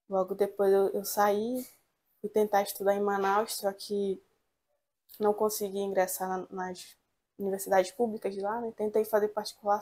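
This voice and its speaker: A woman's medium-pitched voice with a dark, mellow tone at a moderate pace. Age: 20s. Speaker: law student. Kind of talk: interview. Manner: halting.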